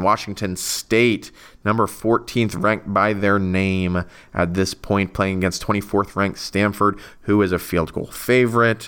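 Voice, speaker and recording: At a fairly slow pace, a man with a fairly low pitch speaks in a plain, everyday voice with ordinary pitch variation, on a very clean recording with a silent background. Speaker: college football podcast host. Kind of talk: solo podcast monologue.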